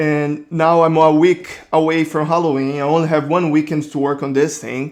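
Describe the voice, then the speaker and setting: Against a quiet background, a man with a Brazilian accent speaks at a moderate pace in a fairly high pitch. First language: Portuguese. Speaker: 3D artist. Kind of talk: casual narration.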